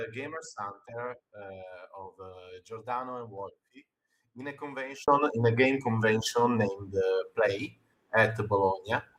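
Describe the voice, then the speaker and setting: A man speaks in an Italian accent at a fairly slow pace. His medium pitch varies in an ordinary way, and his loudness swings widely. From Italy. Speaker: game designer. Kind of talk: interview. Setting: live stream. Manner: halting.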